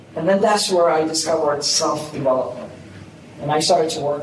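A man's fairly high-pitched voice at a moderate pace, with audible room echo and noticeable background noise. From Boston, US (born in Somalia). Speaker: business coach. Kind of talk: casual interview.

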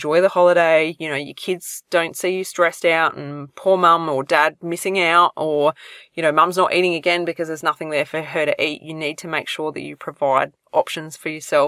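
Speaking fairly quickly with an Australian accent, a woman with a fairly low pitch and a bright, sharp tone keeps a monotone, flat intonation while her loudness swings widely, in a dry, close sound with no echo. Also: very clean recording, silent background. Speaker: podcast host, celiac health coach. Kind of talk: solo podcast advice talk. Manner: casual, conversational with fillers.

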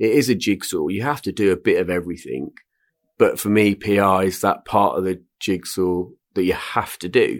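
A man speaks with a West Country accent at a moderate pace. The recording is very clean, with a silent background. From Swindon, Wiltshire, England. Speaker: retired entrepreneur and investor. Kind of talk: casual interview. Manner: hesitant with fillers.

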